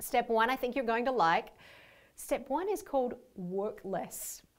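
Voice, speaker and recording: A woman speaks with an Australian accent and ordinary pitch variation on a very clean recording with a silent background. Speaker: leadership coach. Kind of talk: workshop training video.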